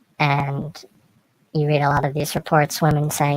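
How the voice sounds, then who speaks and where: A shaky, very deep, low female voice at a moderate pace, with a dry, close sound and no echo. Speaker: video blogger. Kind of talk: opinion monologue. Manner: shaky voice; hesitant, many fillers.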